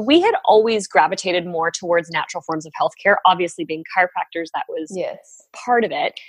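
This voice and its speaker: A woman with an American accent, speaking at a moderate pace. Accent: Canadian, slight Southern US touches. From Ontario, Canada. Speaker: chiropractor and essential oils leader. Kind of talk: casual interview chat.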